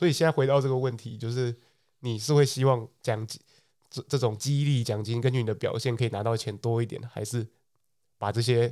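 A man's medium-pitched, dark and mellow voice with a Taiwanese accent, fairly quick pace and fairly even intonation, on a very clean recording with a silent background. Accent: Taiwanese Mandarin. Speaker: podcast co-host. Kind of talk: casual chat.

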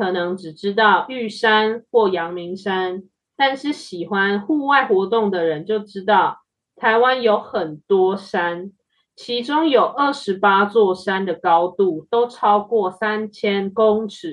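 At a very slow pace, a woman speaks in a medium pitch with ordinary pitch variation. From Taiwan. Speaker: podcast host and Mandarin teacher. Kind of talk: casual chat for language learners.

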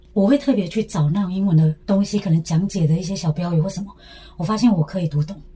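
Noticeable background noise sits behind speech delivered at a very fast pace. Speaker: former language school student. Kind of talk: casual interview.

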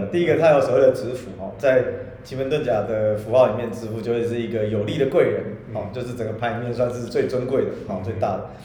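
A man with a medium pitch and ordinary pitch variation speaks at a very fast pace, with noticeable background noise and audible room echo. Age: middle-aged. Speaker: podcast co-host, qimen divination teacher. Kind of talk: casual chat. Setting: room with echo in a new home.

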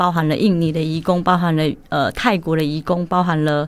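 A woman with a Taiwanese accent at a moderate pace. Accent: Taiwanese Mandarin. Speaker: former expat factory manager in Vietnam. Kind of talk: casual interview. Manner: halting.

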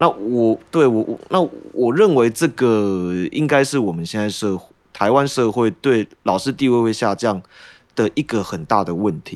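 Against a silent background in a very clean recording, a man with an unremarkable speaking voice talks fairly slowly at medium pitch with lively intonation. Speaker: social studies teacher. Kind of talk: casual chat.

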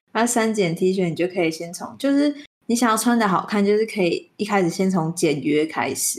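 A woman's plain, everyday voice at a medium pitch, with ordinary pitch variation and a moderate pace. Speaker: podcast co-host. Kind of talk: casual chat. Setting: remote online call.

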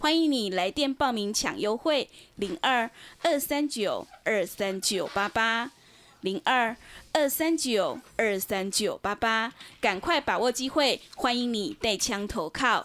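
A woman speaks at a high pitch with lively intonation. Her pace is very slow. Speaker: radio host. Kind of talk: radio hosting with sales promotion.

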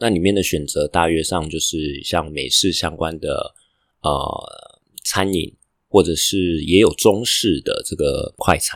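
The speaker is a man with a Taiwanese accent. The sound is dry and close with no echo, on a very clean recording with a silent background. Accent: Taiwanese Mandarin. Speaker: podcaster and international student. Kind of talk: casual vlog narration. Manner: hesitant with fillers.

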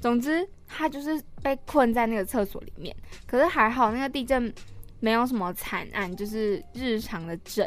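With a Taiwanese accent, a woman speaks in a high voice. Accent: Taiwanese Mandarin. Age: 20s. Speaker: podcast co-host, university student. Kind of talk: casual chat.

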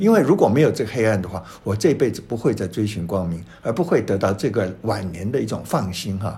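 Somewhat breathy and dark, mellow in tone, a man speaks at a fairly quick pace with fairly low pitch and ordinary pitch variation. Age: 70s. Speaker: painter and writer. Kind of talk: interview. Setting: his painting studio.

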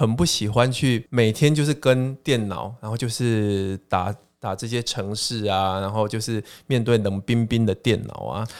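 On a very clean recording with a silent background, a man with a plain, everyday voice talks at a fairly slow pace and a medium pitch. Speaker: education professor and author. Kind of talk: casual interview chat.

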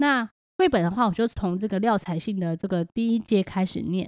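Fairly quick speech from a woman with a Taiwanese accent, ordinary pitch variation, dry, close sound with no echo, and a very clean recording with a silent background. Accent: Taiwanese Mandarin. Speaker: podcast host and homeschooling mother. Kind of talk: casual monologue.

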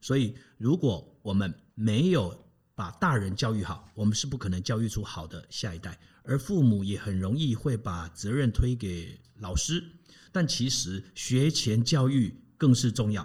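A man speaks at medium pitch and a fairly slow pace, somewhat breathy, with lively intonation. The recording is very clean, with a silent background. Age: 50s. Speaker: personal coach and family educator. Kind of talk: interview, advice talk.

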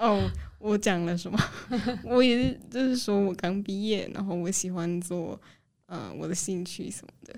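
At a fairly slow pace, a woman speaks at a medium pitch with ordinary pitch variation and big swings in loudness. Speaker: recent university graduate. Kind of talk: radio interview.

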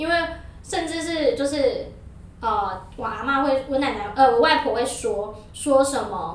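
A woman with a high pitch speaks at a fairly slow pace over noticeable background noise. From New Taipei, Taiwan. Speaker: podcast guest. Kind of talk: casual chat. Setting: studio.

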